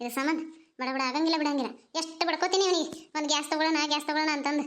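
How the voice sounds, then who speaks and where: A woman puts on a squeaky character voice pitched extremely high, keeping her intonation fairly even. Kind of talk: village comedy skit. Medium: comedy sketch. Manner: sarcastic, needling.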